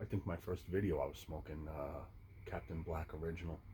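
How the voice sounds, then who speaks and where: A man with a very deep, low voice and a dark, mellow tone. He talks at a fairly quick pace, somewhat breathy. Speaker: pipe smoking YouTuber. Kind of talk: casual monologue. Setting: outdoors. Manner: stuttering.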